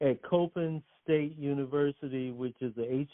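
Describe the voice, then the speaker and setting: A man talks at a fairly slow pace in a fairly high voice with ordinary pitch variation. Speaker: comic artist and convention founder. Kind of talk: casual interview. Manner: stumbling, animated.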